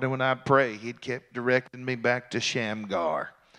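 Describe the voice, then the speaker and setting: A man's bright, sharp tone at medium pitch, with fairly even intonation, against a quiet background. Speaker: pastor. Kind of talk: sermon. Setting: church service. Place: church. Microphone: handheld.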